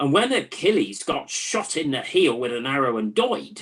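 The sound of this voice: A woman puts on a character voice with a slightly husky edge. Her pitch is extremely low and swings widely. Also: moderate pace.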